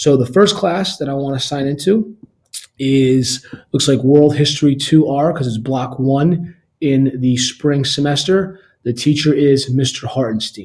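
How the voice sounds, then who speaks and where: Somewhat breathy and dark, mellow in tone, a man speaks fairly slowly at a fairly high pitch with ordinary pitch variation. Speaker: school staff member. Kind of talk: tutorial. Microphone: webcam.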